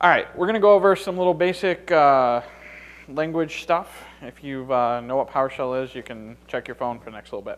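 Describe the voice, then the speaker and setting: A man's fairly high voice, lively in intonation, at a fairly quick pace. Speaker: conference speaker, system analyst. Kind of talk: conference talk. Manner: fast.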